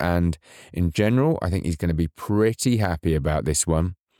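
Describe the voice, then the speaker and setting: Recorded very cleanly with a silent background and a dry, close sound with no echo, a man speaks at a moderate pace with ordinary pitch variation. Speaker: podcast host. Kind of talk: scripted podcast intro and promo. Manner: earnest, new to podcasting.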